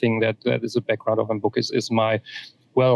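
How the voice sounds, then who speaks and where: A man talks at a medium pitch with a German accent and vocal fry. His intonation stays fairly even. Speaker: author. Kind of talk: interview. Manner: halting, many repetitions.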